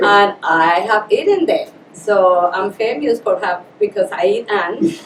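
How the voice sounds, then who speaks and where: A woman speaks very slowly at a medium pitch, with a strong Colombian accent and lively intonation. Noticeable background noise runs under her voice. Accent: heavy Colombian Spanish. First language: Spanish. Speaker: Spanish teacher. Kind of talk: casual interview.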